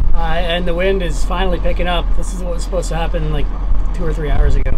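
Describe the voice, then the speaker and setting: Noticeable background noise sits behind this man's voice. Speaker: sailor vlogger. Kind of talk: casual vlog chat. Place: boat. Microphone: phone near.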